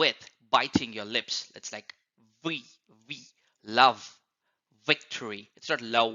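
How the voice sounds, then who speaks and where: A man speaks at a medium pitch and a very slow pace. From India. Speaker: accent coach. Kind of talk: educational tutorial to camera.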